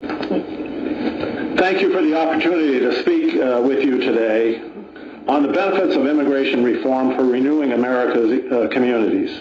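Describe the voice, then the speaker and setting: A man's voice at very even loudness, with noticeable background noise and audible room echo. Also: moderate pace. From Southern California (early childhood French-Canadian). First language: French. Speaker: mayor, former police officer. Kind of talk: formal testimony. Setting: Senate subcommittee hearing room. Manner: formal, read from prepared statement.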